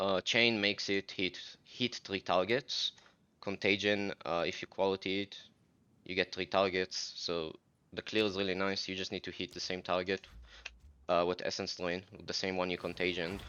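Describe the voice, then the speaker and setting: Very deep, low-pitched male voice at a moderate pace, with monotone, flat intonation. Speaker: gaming content creator. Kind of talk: gameplay tutorial. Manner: casual, many fillers (uh, um).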